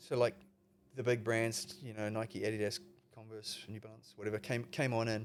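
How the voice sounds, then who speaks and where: This man has a New Zealand accent. He talks at a moderate pace and a medium pitch. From New Zealand, Palmerston North. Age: 50s. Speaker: veteran skateboarder. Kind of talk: casual chat. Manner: animated.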